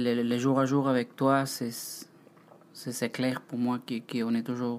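Very slow in pace, a man speaks with a non-native accent. His pitch is medium. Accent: foreign accent in French. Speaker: host's partner, former ship bartender. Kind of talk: casual chat. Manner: halting.

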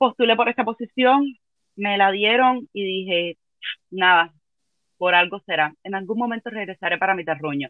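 A woman at medium pitch talks at a moderate pace with lively intonation and long, frequent pauses. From Cuba. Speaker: philologist, travel company employee. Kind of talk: casual interview, storytelling. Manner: animated.

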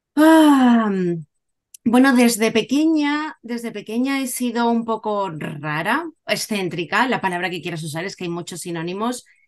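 A woman speaks at a fairly slow pace with a fairly high pitch, her pitch swinging very widely and her loudness shifting a lot. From Cádiz, Andalusia, Spain. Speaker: Spanish teacher and musician. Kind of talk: casual interview.

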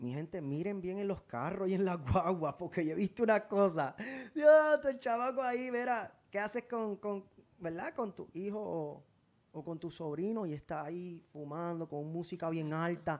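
Lively, high-pitched male speech delivered at a moderate tempo. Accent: Puerto Rican. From Puerto Rico. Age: 30s. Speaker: singer and social media personality. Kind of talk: casual interview chat. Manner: animated.

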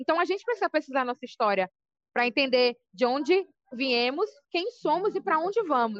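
The pitch swings very widely and the pace is fairly quick. The sound is dry and close, with no echo. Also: woman, high pitch for a woman. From Brazil, Salvador, Bahia. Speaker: rapper and poet. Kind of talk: interview. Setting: on a break from dance class.

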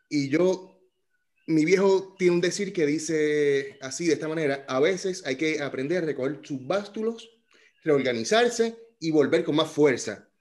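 A man's fairly high voice, an ordinary speaking voice, with ordinary pitch variation and a fairly slow pace. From Puerto Rico. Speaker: podcast host. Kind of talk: casual chat.

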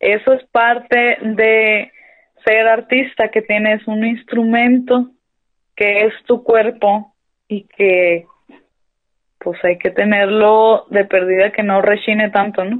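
A woman speaks at a very slow pace in a fairly high pitch. Her intonation stays monotone and flat. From Mexico, Sonora (Hermosillo). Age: 30s. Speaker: stage actress. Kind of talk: interview.

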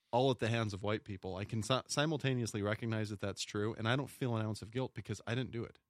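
A man with an American accent talks at a very fast pace, barely pausing at all. His voice sits at a medium pitch with fairly even intonation, and the sound is dry and close with no echo. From smaller US town. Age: 40s. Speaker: police officer. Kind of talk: casual chat.

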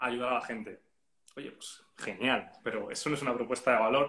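Speaking in a flat, monotone way, a man keeps up a fairly quick pace. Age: 30s. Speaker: content strategist and graphic designer. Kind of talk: casual interview.

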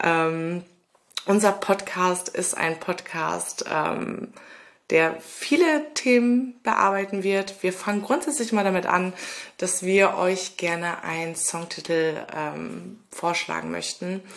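A woman with a medium pitch and ordinary pitch variation talks at a very slow pace. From Ruhr area, Germany (Lünen near Dortmund). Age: 30s. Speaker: podcast co-host. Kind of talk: casual podcast intro.

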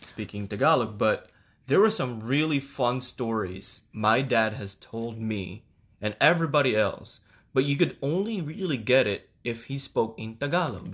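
A man with an American accent and an ordinary speaking voice, lively intonation and a moderate pace, on a very clean recording with a silent background. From Philippines (Manila), then US South (Houston). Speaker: podcast co-host. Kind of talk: casual chat.

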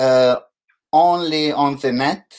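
This is a man speaking. He has an Italian accent. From Italy. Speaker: photographer hosting an online live show. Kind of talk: casual interview. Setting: video call. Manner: halting; slow.

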